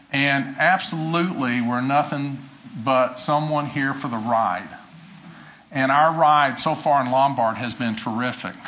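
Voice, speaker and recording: Against audible room echo, a man speaks at a fairly slow pace with a fairly high pitch and fairly even intonation. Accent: American. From US South. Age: 60s. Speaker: retired fire chief. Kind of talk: acceptance speech. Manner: halting.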